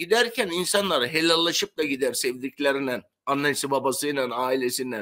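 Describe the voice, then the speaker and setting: A bright, sharp tone comes through at a moderate pace over a quiet background. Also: man. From Turkey, Bodrum (Aegean); Turkey. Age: 70s. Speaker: retired sponge diver; interview guest. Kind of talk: interview storytelling. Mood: earnest, emotional storytelling. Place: home room.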